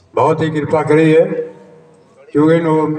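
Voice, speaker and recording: A man with audible room echo. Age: 70s. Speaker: community elder speaker. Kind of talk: public speech at a commemoration. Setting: public gathering at an ashram.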